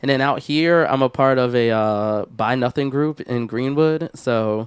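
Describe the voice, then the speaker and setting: A man with an American accent, a normal speaking voice, a medium pitch and fairly even intonation. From Philadelphia, US. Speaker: podcast co-host. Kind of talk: casual chat. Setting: studio.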